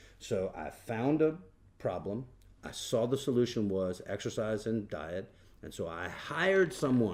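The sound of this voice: At a fairly slow pace, a man speaks with lively intonation and a slightly mellow tone.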